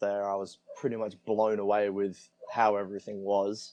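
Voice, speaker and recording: A man speaks with an Australian accent. His voice is fairly low in pitch, with a dark, mellow tone. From Australia, Adelaide area. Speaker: traveler, guest. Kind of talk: casual interview chat.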